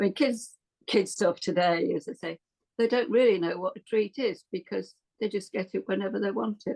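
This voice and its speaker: With an English Midlands accent, this dark, mellow voice has vocal fry, ordinary pitch variation and a moderate pace, recorded with a dry, close sound and no echo. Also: woman, medium pitch for a woman. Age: 70s. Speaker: podcast guest. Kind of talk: casual interview chat.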